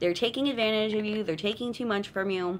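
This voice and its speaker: A woman talks at a very fast clip in a Californian accent. Her pitch sits fairly high and varies in an ordinary way. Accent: Californian valley girl. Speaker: tarot card reader. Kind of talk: live stream card reading. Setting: live stream at home. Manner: animated.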